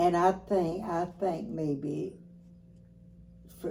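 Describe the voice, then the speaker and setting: Through noticeable background noise, a woman speaks at a very slow pace with fairly low pitch and fairly even intonation. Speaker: grandmother. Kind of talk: interview answer.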